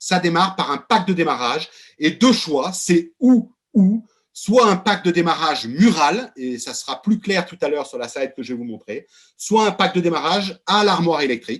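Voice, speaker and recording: An animated tone with very wide pitch swings. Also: man. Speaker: company executive presenting products. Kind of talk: webinar presentation. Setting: video call. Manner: loud.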